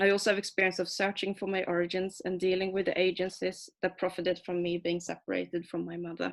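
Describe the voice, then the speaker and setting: A woman with a Swedish accent talks very fast at a medium pitch, with hardly any pauses. Her intonation is monotone and flat. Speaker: adoptee rights activist and comic artist. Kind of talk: prepared talk read from manuscript. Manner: hesitant, with fillers.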